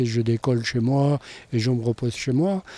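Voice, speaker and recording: Slow-ish and fairly even in intonation, a man speaks at medium pitch in a dark, mellow tone. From Pyrenees, southwest France. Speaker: mountain pilot with private airstrip. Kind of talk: interview testimony.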